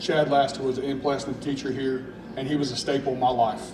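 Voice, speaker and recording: A man with an East Tennessee accent speaks at a moderate pace in a medium pitch, his intonation monotone and flat, with audible room echo and noticeable background noise. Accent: East Tennessee Southern US. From Louisiana, then East Tennessee. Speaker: high school football coach. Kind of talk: emotional press conference speech. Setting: school event with audience. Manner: halting.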